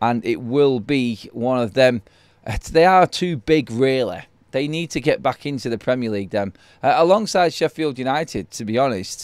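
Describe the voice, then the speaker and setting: A man with a strong Mancunian accent speaks at a moderate pace and medium pitch, with lively intonation. The recording is very clean, with a silent background and a dry, close sound with no echo. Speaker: football fan channel host. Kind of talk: live stream chat. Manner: casual, with many fillers.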